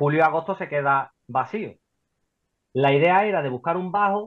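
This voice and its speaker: An ordinary speaking voice from a man, fairly high in pitch, with lively intonation at a fairly slow pace. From Spain, Seville. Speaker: property investor. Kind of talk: interview.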